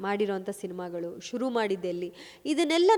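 A woman's plain, everyday voice with lively intonation. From Kodagu (Coorg), Karnataka, India. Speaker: film actress. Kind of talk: interview.

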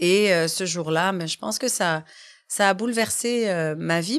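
At a fairly slow pace, a woman talks in a fairly low pitch with ordinary pitch variation. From Quebec. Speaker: family and youth lawyer; youth lawyer. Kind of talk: interview. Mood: earnest, concerned. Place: studio. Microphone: studio mic.

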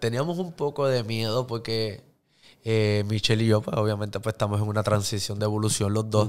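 A man's normal speaking voice, fairly low-pitched, fairly quick, with fairly even intonation. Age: 30s. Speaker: social media influencer and actor; podcast guest. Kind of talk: casual interview. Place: studio. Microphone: studio mic.

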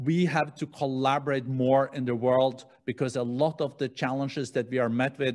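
The man's intonation stays fairly even while his pace remains moderate. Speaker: host moderator. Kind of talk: interview question. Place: studio. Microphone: studio mic.

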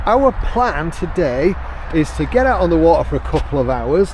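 The man's voice sounds dry with no echo, and there is light background noise. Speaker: kayaking vlogger. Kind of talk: casual vlog chat. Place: street. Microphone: phone near.

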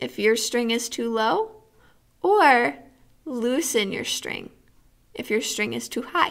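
Speech comes at a fairly slow pace. The speaker is a woman. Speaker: music teacher. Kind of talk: tutorial. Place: classroom. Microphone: webcam.

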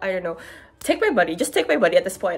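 A woman talks while faint music sounds in the background. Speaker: postgraduate student vlogger. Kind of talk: casual vlog chat. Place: home room.

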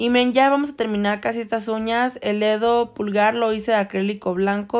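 The recording is very clean, with a silent background. A woman with a normal speaking voice talks at a moderate pace, fairly high in pitch with fairly even intonation. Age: 20s. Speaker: nail artist and beauty YouTuber. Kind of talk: tutorial.

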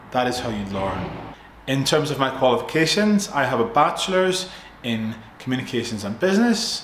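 In a Northern Irish accent, a man speaks in a relaxed tone with very wide pitch swings, audible room echo and light background noise. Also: moderate pace. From Northern Ireland. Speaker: English teacher. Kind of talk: tutor introduction to camera. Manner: relaxed, friendly. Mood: relaxed, friendly. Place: home room. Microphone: phone near.

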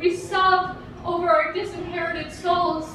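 Amid noticeable background noise and audible room echo, a woman speaks at an extremely high pitch. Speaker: poet performer. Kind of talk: poetry reading. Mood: intense emotional delivery.

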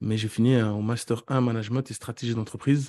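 A man talks at a fairly quick pace in a dark, mellow tone. His intonation is monotone and flat, against a quiet background. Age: 30s. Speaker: real estate investor and coach. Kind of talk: interview about his career story. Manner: halting, with many repetitions.

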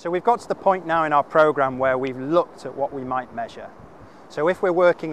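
The recording is dry, with no echo, and light background noise. A man talks with ordinary pitch variation. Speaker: fitness coach. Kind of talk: tutorial. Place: beach.

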